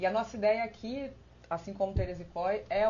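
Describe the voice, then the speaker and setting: A woman is speaking here. Her voice carries vocal fry. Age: 30s. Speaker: election candidate, internal auditor. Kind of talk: live-stream panel presentation. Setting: online live stream. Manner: halting, many filler hesitations.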